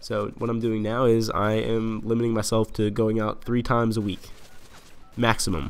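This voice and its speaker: A man's fairly low voice with audible room echo. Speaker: gaming commentator. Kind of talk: casual monologue commentary. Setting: home lounge late at night. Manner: monotone.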